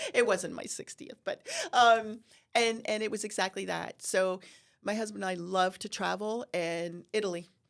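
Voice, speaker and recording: A woman with an ordinary speaking voice and an American accent talks at a moderate pace and medium pitch with ordinary pitch variation, in a very clean recording with a silent background. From New Jersey (Sussex County). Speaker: horticultural therapy business owner. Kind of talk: podcast interview.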